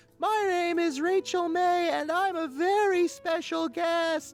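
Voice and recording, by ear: A squeaky, put-on character voice speaks at a fairly slow pace over faint background music.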